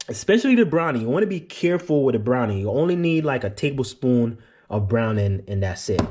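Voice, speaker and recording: A man with a medium-pitched, somewhat breathy voice talks at a fairly quick pace with very wide pitch swings, on a very clean recording with a silent background. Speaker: cooking show host. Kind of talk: cooking tutorial. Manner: casual, chatty.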